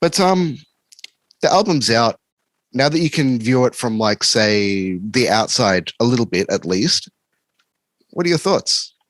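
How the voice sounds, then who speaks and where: In a dry, close sound with no echo, a man with an Australian accent and a medium pitch speaks at a fairly slow pace, his pitch swinging very widely while his loudness stays very even, with long, frequent pauses. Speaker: podcast host and music reviewer. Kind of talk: interview. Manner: casual.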